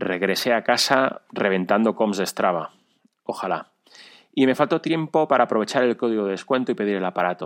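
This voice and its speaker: An unremarkable speaking voice from a man, fairly low-pitched with ordinary pitch variation at a fairly quick pace, in a dry, close sound with no echo and a very clean recording with a silent background. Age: 40s. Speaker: amateur runner and cyclist. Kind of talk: recorded personal story.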